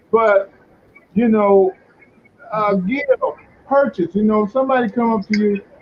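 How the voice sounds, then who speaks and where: Over noticeable background noise, a man with an American accent talks at a moderate pace in a high pitch, with ordinary pitch variation. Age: 60s. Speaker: blues singer. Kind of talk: interview. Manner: halting.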